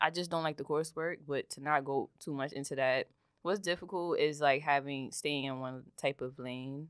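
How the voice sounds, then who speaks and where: This woman speaks at a moderate pace in a very deep, low voice. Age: 20s. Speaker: guest with alopecia, wig maker and student. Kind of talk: casual chat.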